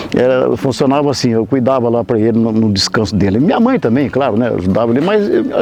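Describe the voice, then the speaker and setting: The voice races at a very fast pace with hardly any pauses and very even loudness against noticeable background noise. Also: man. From Brazil, coastal São Paulo state (Caraguatatuba). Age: 70s. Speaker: musician and conductor. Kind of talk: interview storytelling. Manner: casual, with hesitations.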